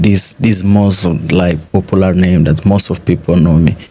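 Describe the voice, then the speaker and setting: A man talks with a very deep, low pitch. Noticeable background noise runs under his voice. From Guinea-Bissau (Bissau). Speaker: interviewee, African student in Russia. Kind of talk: interview conversation.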